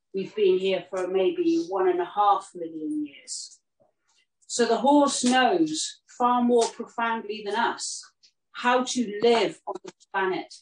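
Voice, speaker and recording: Very slowly, a woman speaks at a fairly high pitch with big swings in loudness, amid audible room echo and light background noise. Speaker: horse herd custodian and healer; event host. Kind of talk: guided talk and meditation outdoors; talk to a group. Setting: outdoors with horses, streamed. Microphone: camera far.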